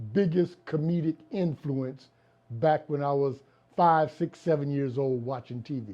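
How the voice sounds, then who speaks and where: At a fairly slow pace, a man speaks in a plain, everyday voice with a fairly high pitch and ordinary pitch variation. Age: 60s. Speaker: comedy writer and producer. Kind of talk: interview. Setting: video interview on camera. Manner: conversational, with fillers.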